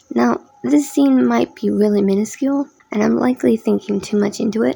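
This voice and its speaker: Noticeable background noise fills the recording. The speaker is a woman. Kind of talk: casual theory commentary narration. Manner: rushed.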